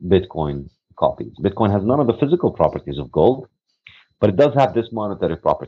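The speaker talks at a fairly quick pace with very wide pitch swings. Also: man. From Palestine, West Bank. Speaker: economics professor and author. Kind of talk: interview.

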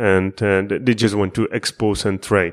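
Speaking with a Czech accent at a moderate pace, a man comes through in a very clean recording with a silent background. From Czech Republic. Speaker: quantitative finance researcher. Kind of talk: interview. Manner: halting.

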